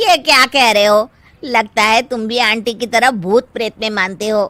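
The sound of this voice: A woman does a cartoonish character voice at a fairly high pitch, speaking at a moderate pace.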